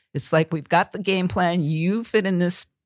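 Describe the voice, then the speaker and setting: In a very clean recording with a silent background, a woman with an American accent talks in an unremarkable speaking voice. Her pitch is fairly low, her pitch variation ordinary and her pace moderate. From Wisconsin, Oconomowoc. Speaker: author and leadership trainer. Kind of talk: interview.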